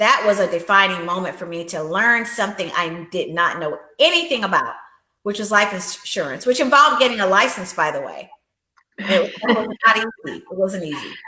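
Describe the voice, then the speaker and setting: A woman's medium-pitched, ordinary speaking voice at a fairly quick pace, with lively intonation and big swings in loudness. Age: 60s. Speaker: life insurance agent and empowerment coach. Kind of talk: interview.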